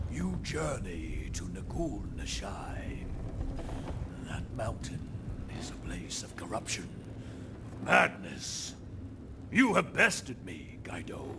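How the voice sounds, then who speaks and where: Amid loud background noise, a man uses a put-on character voice. He speaks at a fairly slow pace with long, frequent pauses. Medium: machinima. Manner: formal, grandiose, hearty.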